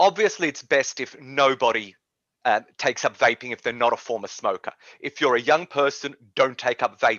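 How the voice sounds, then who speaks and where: Here a man talks in an Australian accent at a moderate pace. His intonation is lively. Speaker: policy advocate. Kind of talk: interview.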